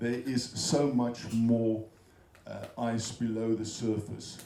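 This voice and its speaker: A man talks at a fairly slow pace in a monotone, flat intonation. Noticeable background noise and audible room echo surround him. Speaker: economist and business school research fellow. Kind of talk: speech at a business breakfast. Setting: event room with audience. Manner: hesitant, many fillers.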